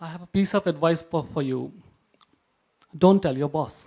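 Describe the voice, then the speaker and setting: A man's fairly high voice with ordinary pitch variation and an Indian accent. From India, Maharashtra. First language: Punjabi. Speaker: publisher. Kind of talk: panel presentation. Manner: halting.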